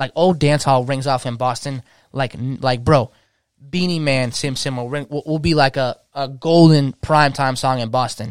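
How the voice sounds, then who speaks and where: A man with an ordinary speaking voice, medium pitch and fairly even intonation talks at a moderate pace, with a dry, close sound with no echo on a very clean recording with a silent background. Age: 20s. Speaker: DJ. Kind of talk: casual chat.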